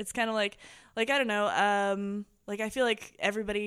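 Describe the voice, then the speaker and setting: A woman with an American accent speaks at a medium pitch on a very clean recording with a silent background. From US Midwest, Indiana. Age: 30s. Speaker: comedian. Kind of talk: casual chat.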